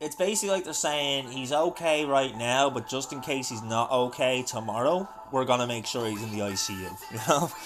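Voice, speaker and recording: A man at medium pitch with a British accent, fairly quick pace and ordinary pitch variation, music in the background. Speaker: gaming live streamer. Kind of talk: live stream chat. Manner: loud; animated.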